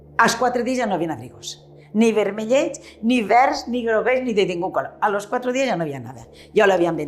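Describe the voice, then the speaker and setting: Fairly quick, fairly high-pitched speech from a woman, very wide pitch swings, noticeable background noise and audible room echo. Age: 70s. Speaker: retired shopkeeper. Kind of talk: oral history interview.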